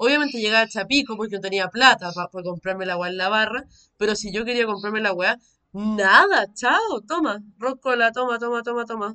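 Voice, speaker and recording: At a fairly quick pace, a woman talks in a bright, sharp tone, her fairly high pitch moving with ordinary variation. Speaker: podcast co-host. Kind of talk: casual chat.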